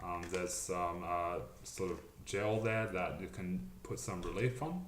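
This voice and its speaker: Amid noticeable background noise and audible room echo, a man with a very deep, low voice speaks at a fairly slow pace. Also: ordinary pitch variation. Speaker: vlogger documenting jaw surgery. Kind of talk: casual vlog update. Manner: hesitant, many fillers.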